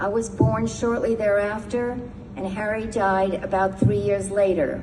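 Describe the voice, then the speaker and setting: Through noticeable background noise and audible room echo, a woman with an American accent speaks at a moderate pace with fairly even intonation. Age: 70s. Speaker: retired lawyer and memoir writer. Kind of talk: personal testimony speech. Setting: synagogue service. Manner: formal.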